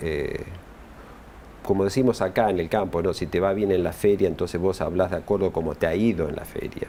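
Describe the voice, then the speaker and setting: At a moderate pace, a man talks in a very deep, low-pitched voice with ordinary pitch variation. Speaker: union official, former UN worker. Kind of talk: interview. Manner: halting, many repetitions and fillers.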